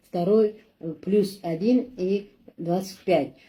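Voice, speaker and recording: A woman speaks at a very slow pace and medium pitch. Her tone is dark and mellow and somewhat breathy. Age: 60s. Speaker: customer giving product testimonial. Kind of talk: testimony. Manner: halting, with many fillers.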